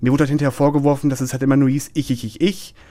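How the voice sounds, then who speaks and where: A man with a fairly high pitch and fairly even intonation at a very fast pace, on a very clean recording with a silent background. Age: 20s. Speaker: bullying survivor. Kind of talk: interview testimony. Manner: hesitant with many fillers.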